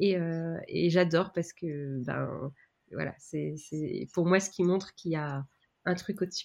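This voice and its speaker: This woman talks at a fairly slow pace with fairly even intonation. Her pitch sits fairly low. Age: 30s. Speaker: business mentor and training company founder. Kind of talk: interview. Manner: hesitant, many fillers.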